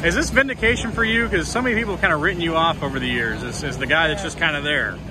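Very fast delivery with very wide pitch swings, a dry sound with no echo, and noticeable background noise. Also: man, high pitch for a man. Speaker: motorsport reporter. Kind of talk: interview questions. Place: stadium.

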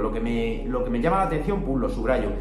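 A man is speaking. Music sounds clearly behind him. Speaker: self-improvement content creator. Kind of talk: casual talk to camera. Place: home room. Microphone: phone near.

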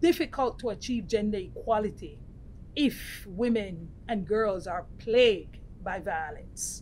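The woman talks at a fairly slow pace with ordinary pitch variation. Light background noise sits behind her. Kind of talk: interview answer. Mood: earnest, measured. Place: meeting room. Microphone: lapel.

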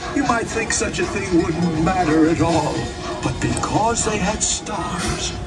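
Loud music plays in the background while a man speaks at a very slow pace.

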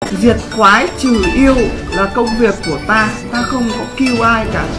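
Clear background music under a man's fairly slow speech. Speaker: game streamer. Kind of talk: live stream commentary and ranting. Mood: angry, mocking, profane. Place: home room.

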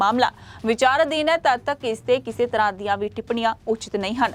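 Fairly high in pitch with ordinary pitch variation, a woman speaks in a normal speaking voice. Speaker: news anchor. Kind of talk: formal news bulletin reading, steady broadcast-style delivery. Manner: formal; brisk, even, headline-by-headline pace.

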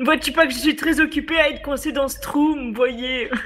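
A put-on character voice sits at a high pitch and moves at a fairly quick pace. Light background noise is present.

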